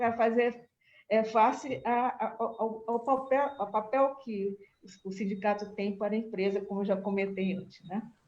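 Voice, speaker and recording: Music plays in the background while a woman talks at a moderate pace. Her fairly high voice keeps a fairly even intonation. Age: 70s. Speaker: agricultural researcher. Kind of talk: panel discussion remarks. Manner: halting, many fillers.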